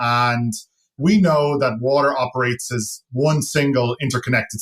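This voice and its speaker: A man speaks with a slight Irish accent, his voice somewhat breathy and his pitch varying in an ordinary way. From Ireland. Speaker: tech company founder and CEO. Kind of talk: podcast interview.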